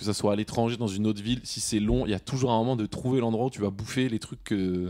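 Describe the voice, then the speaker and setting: Talking at a very fast pace, a man with a fairly low pitch keeps his intonation fairly even. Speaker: podcast host. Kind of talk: casual chat. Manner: halting.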